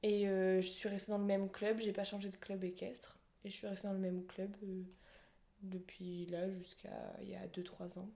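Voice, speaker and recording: A woman with a dark, mellow tone and a medium pitch talks at a moderate pace. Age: 20s. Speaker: horse rider sharing her story. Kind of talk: podcast interview. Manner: halting, many fillers.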